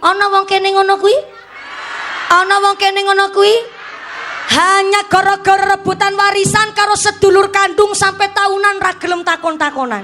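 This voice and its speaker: Woman's raised, projected voice in a Javanese accent, extremely high in pitch, flat and monotone, very even in loudness, at a moderate pace over crowd noise in the background. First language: Javanese (speaking Indonesian). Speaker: female Islamic preacher. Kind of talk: religious sermon with humor. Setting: stage with audience and PA system. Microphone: echo effect on PA removed.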